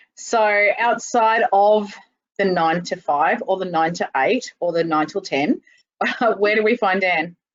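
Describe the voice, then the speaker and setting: A woman with an Australian accent, medium pitch, a fairly slow pace and very even loudness. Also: ordinary pitch variation. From Queensland, Australia. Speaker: industry association state manager. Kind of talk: casual chat.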